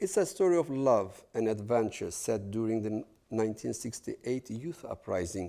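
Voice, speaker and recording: In a very clean recording with a silent background, a man with a Kurdish accent speaks in a dark, mellow tone with lively intonation. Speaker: novelist, guest lecturer. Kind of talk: lecture.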